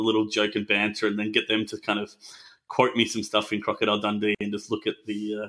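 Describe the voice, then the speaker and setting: Speaking at a fairly quick pace, a man with an Australian accent keeps a fairly low pitch. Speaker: tech company co-founder and executive. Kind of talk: podcast interview. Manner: casual, relaxed.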